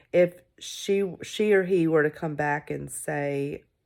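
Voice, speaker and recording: A woman speaks with fairly even intonation. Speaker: parent filming a school application video. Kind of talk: casual monologue to camera. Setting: recorded in bed at home. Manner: halting, many fillers.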